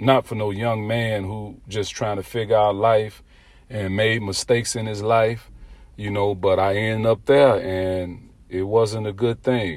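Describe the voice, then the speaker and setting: Using fairly even intonation, a man with a fairly low pitch speaks at a fairly slow pace. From Chicago, West Side. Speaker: podcast host, former prisoner. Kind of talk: casual monologue.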